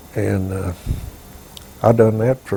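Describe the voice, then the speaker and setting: Slow-paced and fairly low, a man's dark, mellow voice carries vocal fry and a Southern US accent. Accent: Southern American. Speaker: war veteran. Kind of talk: interview answer.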